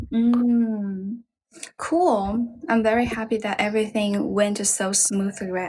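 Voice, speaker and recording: A woman with a Chinese accent speaks at a fairly slow pace, her medium pitch moving with ordinary variation. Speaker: livestream host for English practice. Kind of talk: casual chat.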